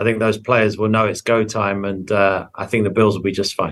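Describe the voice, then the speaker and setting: A man with an English accent. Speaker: sports broadcaster. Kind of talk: interview.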